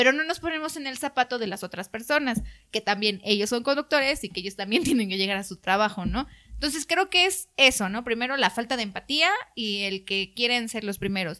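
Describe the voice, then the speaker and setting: A woman in a Mexican accent, fairly high-pitched and bright, sharp in tone, with lively intonation at a fairly quick pace. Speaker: TV reporter. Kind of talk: interview.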